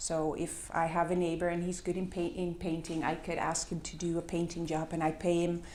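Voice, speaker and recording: With a Dutch accent, a woman speaks at a fairly quick pace in a dark, mellow tone, her fairly low pitch held in monotone, flat intonation amid audible room echo. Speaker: complementary currency project worker. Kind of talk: conference presentation. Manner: halting, many fillers.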